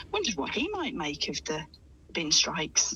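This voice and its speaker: Noticeable background noise runs under a woman's fairly quick speech. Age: 40s. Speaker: writer and health coach. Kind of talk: radio interview. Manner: halting.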